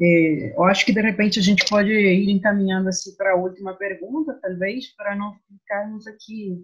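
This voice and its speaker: A woman with a non-native accent speaks at a fairly slow pace. Her medium pitch stays in fairly even intonation. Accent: foreign accent in Portuguese. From Guatemala. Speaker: moderator for human rights center. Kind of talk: moderating video discussion. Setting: video call.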